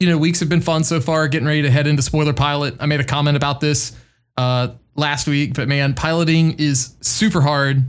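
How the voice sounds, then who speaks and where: A man with a plain, everyday voice and fairly high pitch speaks at a moderate pace with very even loudness. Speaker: podcast co-host. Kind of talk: casual chat.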